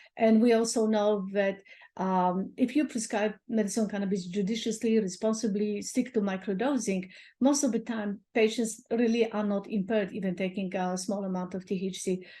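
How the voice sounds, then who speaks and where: Speaking at a moderate pace, a woman with a medium-pitched, somewhat breathy voice and a dark, mellow tone keeps her intonation fairly even against a quiet background. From Poland. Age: 60s. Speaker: doctor. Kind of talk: interview.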